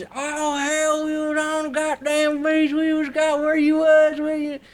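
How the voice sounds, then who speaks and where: Using a put-on character voice, a man talks at an extremely high pitch in a monotone, flat intonation at a moderate pace. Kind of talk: rough, informal, profane.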